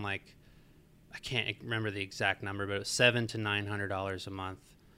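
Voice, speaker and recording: The voice has an American accent and a bright, sharp tone. It moves at a fairly quick pace. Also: man. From Marietta, Georgia (US South). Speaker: apparel brand founder. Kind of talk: interview.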